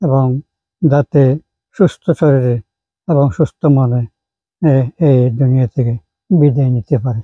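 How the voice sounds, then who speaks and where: A somewhat breathy man's voice at medium pitch. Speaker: retired school teacher. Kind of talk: speech of thanks. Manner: halting.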